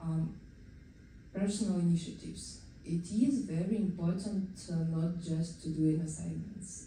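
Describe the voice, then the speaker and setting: Her somewhat breathy, fairly low voice has a dark, mellow tone and fairly even intonation, with audible room echo around the woman. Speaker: software engineer. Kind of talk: conference talk. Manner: halting, many fillers.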